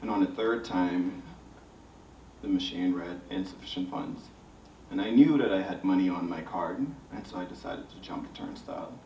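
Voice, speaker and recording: With a Bahamian accent, a man speaks at a moderate pace with long, frequent pauses and big swings in loudness, amid noticeable background noise and audible room echo. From Bahamas. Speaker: visual artist. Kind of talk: panel discussion.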